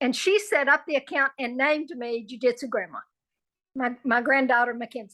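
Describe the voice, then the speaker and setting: Against a quiet background, a woman projects a raised voice with a bright, sharp tone and high pitch at a moderate pace. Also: ordinary pitch variation. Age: 70s. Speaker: jiu jitsu practitioner. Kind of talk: interview.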